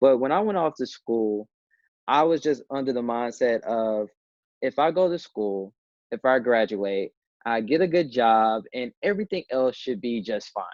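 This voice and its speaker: Lively intonation marks a plain, everyday voice at a moderate pace with an American accent. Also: man, medium pitch for a man. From US South, Memphis, Tennessee. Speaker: digital storyteller and entrepreneur. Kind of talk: interview.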